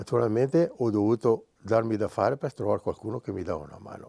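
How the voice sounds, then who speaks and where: A man's fairly low voice, dark and mellow in tone, with ordinary pitch variation and a fairly quick pace, dry and close with no echo, on a very clean recording with a silent background. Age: 70s. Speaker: artist. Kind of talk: interview. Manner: halting.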